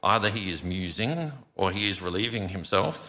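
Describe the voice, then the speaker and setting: With lively intonation and a fairly low pitch, a man talks in a normal speaking voice. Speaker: scripture reader. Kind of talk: scripture reading. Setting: church.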